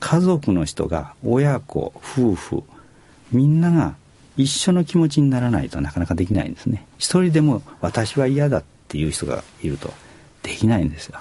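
A medium-pitched man's voice, somewhat breathy with a dark, mellow tone, very wide pitch swings and a moderate pace. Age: 70s. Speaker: company president. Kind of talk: radio interview. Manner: hesitant with fillers.

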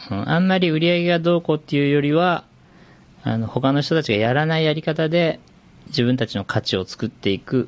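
This man's voice is fairly high, a normal speaking voice. He speaks at a fairly quick pace with lively intonation. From Shizuoka, Japan. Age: 40s. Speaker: fashion company CEO. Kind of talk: casual interview.

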